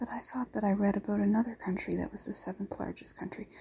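The voice is soft-spoken and moves at a very fast pace. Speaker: podcast host. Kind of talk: soft-spoken bedtime rambling. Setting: at home on a couch. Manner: halting.

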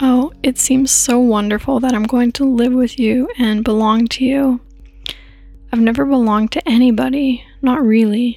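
A woman speaks at a high pitch in a calm, gentle tone, her intonation monotone and flat. Her loudness stays very even over noticeable background noise. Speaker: sleep podcast narrator. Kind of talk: bedtime story narration, read aloud in a hushed, soothing tone. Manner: slow, calm, gentle and unhurried.

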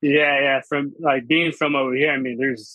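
Here is a man with a normal speaking voice and an American accent. His pitch is fairly high, and his pace is moderate. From Washington state, US. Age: 20s. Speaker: sports fan. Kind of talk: casual interview.

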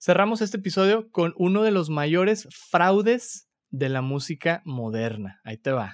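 With an animated tone and hardly any pauses, a man speaks at a high pitch using very wide pitch swings. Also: fairly slow pace, very clean recording, silent background. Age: 30s. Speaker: podcast host. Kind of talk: casual chat.

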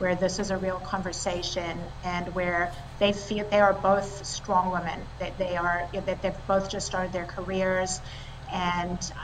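A woman speaks with monotone, flat intonation over noticeable background noise. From South Africa, raised partly in Italy and France. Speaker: tech company co-founder and CEO. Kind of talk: interview.

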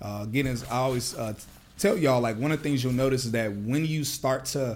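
A man talks at a fairly quick pace and a medium pitch. It is an ordinary speaking voice. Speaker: podcast host. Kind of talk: casual interview chat.

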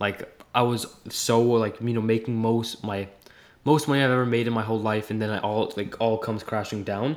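With an unremarkable speaking voice, a man talks at a fairly quick pace and medium pitch, his intonation fairly even. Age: young. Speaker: entrepreneur. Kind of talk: casual chat.

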